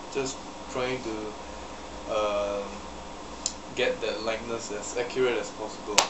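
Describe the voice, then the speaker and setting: Over loud background noise, a man talks at a very slow pace with long, frequent pauses. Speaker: hobbyist vlogger. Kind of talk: casual talk to camera. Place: home room. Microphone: webcam.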